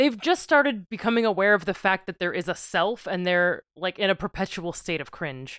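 In a plain, everyday voice, a woman of medium pitch talks at a moderate pace with lively intonation and hardly any pauses. The sound is dry and close with no echo, on a very clean recording with a silent background. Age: 30s. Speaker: podcast co-host, lawyer. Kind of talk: casual chat.

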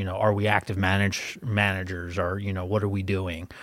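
A man with a Philadelphia accent, fairly low-pitched and monotone with flat intonation, on a very clean recording with a silent background. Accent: Philadelphia accent, noticeable. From Philadelphia, US. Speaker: wealth advisor and podcast host. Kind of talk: casual business podcast chat.

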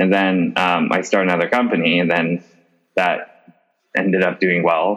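A man speaks at a moderate pace in a very deep, low voice. His intonation is flat and monotone, and his loudness stays very even. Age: 30s. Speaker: retail company CEO. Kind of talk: interview.

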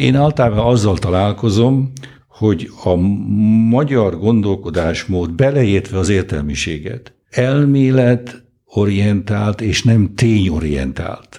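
At a very slow pace, a man with a dark, mellow tone uses lively intonation while keeping his loudness very even. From Hungary. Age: 70s. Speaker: economist and Oxford professor. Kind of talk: interview. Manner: halting.

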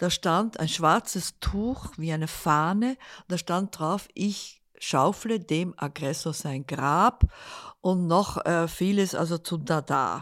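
Against a silent background in a very clean, dry, close recording with no echo, a woman talks very slowly at a fairly low pitch with ordinary pitch variation. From Netherlands. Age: 80s+. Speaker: artist. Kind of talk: interview. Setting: living room at home.

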